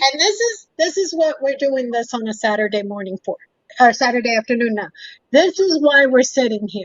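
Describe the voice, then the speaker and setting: A woman with a high pitch talks at a fairly quick pace, her intonation lively. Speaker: talk show host. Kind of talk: panel discussion. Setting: live stream.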